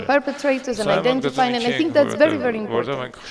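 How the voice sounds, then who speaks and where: In a Spanish accent, the speaker talks very fast with ordinary pitch variation, amid noticeable background noise and audible room echo. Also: woman. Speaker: lawyer and professor, conference panelist. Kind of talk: conference panel talk. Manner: hesitant, with fillers.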